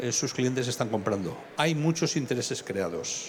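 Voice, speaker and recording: Audible room echo surrounds a man talking at a moderate pace and medium pitch. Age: 60s. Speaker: fund analyst. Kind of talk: lecture.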